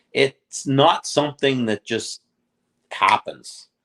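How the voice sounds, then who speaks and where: Heard in a dry, close sound with no echo, this a plain, everyday voice with a Canadian accent shows ordinary pitch variation. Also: man. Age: 60s. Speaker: fishing charter captain. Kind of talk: casual interview chat. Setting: boat show.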